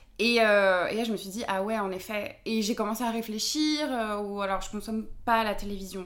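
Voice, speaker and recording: The woman's pitch is medium and varies in an ordinary way. She speaks at a fairly quick pace. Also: hardly any pauses, big swings in loudness. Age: 20s. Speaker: podcaster and feminist content creator. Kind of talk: casual interview. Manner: halting, many fillers.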